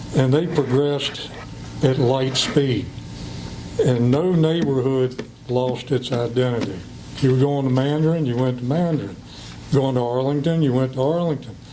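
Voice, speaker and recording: A speaker with an American accent talks at a moderate pace with very even loudness and long, frequent pauses. The recording has noticeable background noise and audible room echo. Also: man, medium pitch for a man, fairly even intonation. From western Virginia, Clifton Forge. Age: 60s. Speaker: school board candidate. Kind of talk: public comment speech. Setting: county board meeting.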